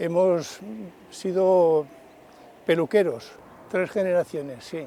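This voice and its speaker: His dark, mellow voice sits high for a man and stays monotone, with flat intonation. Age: 80s+. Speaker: retired barber. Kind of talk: interview testimony.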